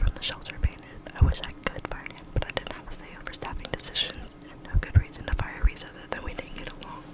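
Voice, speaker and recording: A woman whispers at a very fast pace with big swings in loudness over noticeable background noise. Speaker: ASMR creator. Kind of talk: read story. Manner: whispered.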